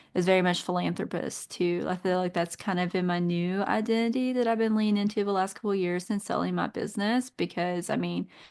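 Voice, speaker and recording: With a Kentucky accent, a woman speaks at a fairly quick pace. Her intonation stays fairly even. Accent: Southern US, Kentucky. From Eastern Kentucky. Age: 30s. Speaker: nurse and business owner. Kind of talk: podcast interview.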